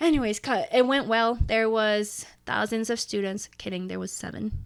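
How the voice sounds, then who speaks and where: Speaking in an unremarkable speaking voice, a woman has a fairly high pitch, ordinary pitch variation and a moderate pace. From Canada. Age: 20s. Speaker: ski brand founder. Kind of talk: casual chat.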